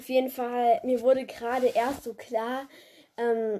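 A woman talks at a very slow pace with a fairly high pitch. Her tone is dark and mellow. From Germany. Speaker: podcaster. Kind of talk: solo podcast monologue.

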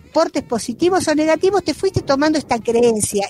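A woman's voice with very wide pitch swings, a dry, close sound with no echo, and noticeable background noise. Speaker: retired school principal. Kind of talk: interview. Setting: video call.

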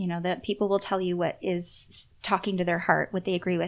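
Against a quiet background, a woman uses a plain, everyday voice at a medium pitch and fairly quick pace with ordinary pitch variation. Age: 30s. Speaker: author and intuitive. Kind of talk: casual chat.

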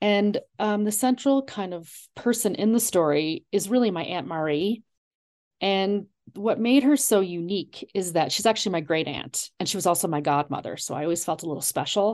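A woman with an American accent and medium pitch speaks in a normal speaking voice at a moderate pace, with lively intonation. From US, Long Island, New York. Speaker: author and college English professor. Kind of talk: interview.

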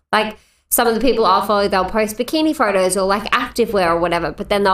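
Recorded very cleanly against a silent background, a woman with an Australian accent shows ordinary pitch variation. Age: 20s. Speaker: podcast co-host. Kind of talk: casual chat.

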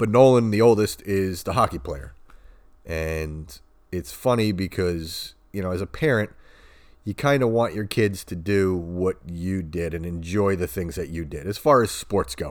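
A man with an American accent speaks at a fairly low pitch with ordinary pitch variation and a fairly slow pace. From Long Island, New York. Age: 30s. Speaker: podcast host, hockey dad. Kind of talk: casual monologue. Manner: hesitant, many filler words.

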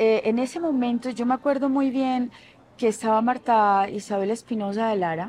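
Against a quiet background, a woman speaks at a moderate pace with a fairly high pitch. She has an unremarkable speaking voice and ordinary pitch variation. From Colombian Caribbean coast (Barranquilla). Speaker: fashion designer. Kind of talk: interview.

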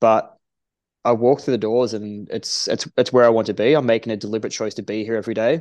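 Against a quiet background, a man with an Australian accent talks at a very fast pace, his medium-pitched voice fairly even in intonation. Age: 30s. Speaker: strength and conditioning coach. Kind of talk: casual interview. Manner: halting.

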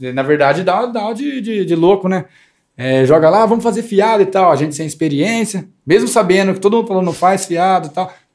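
A man speaks at a fairly quick pace with lively intonation and a high pitch, on a very clean recording with a silent background. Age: 20s. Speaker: barber. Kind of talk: casual chat.

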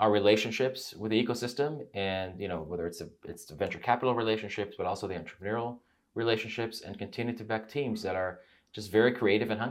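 The recording is very clean, with a silent background. A man speaks in a normal speaking voice with a fairly low pitch. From Israel, then US. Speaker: venture investor, former tech CEO. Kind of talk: casual interview conversation.

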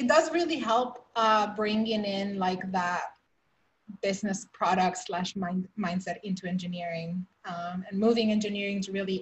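Moderate pace, an American accent, and a normal speaking voice. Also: woman. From outside the US. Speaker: podcast host. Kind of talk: interview.

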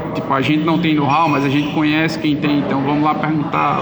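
Noticeable background noise sits behind a man talking at a fairly quick pace. His pitch is fairly high, and his intonation is monotone and flat. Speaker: film producer. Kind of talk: casual interview.

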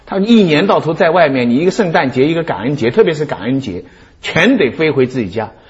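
Noticeable background noise sits behind a man speaking fairly quickly. His pitch is fairly high and swings very widely. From Shanghai. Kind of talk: talk show discussion.

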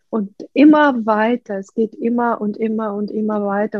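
A woman speaks at a medium pitch and a fairly slow pace in a dark, mellow tone, her intonation monotone and flat, with a dry, close sound and no echo. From Ukraine. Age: 50s. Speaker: artist and painting-method coach. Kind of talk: interview.

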